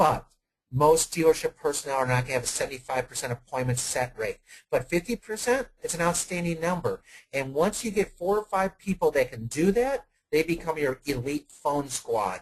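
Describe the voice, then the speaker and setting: The speaker is a man with a somewhat breathy voice. He goes at a fairly quick pace. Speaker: automotive sales consultant. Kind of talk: webinar Q&A answer. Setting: online webinar. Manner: fast.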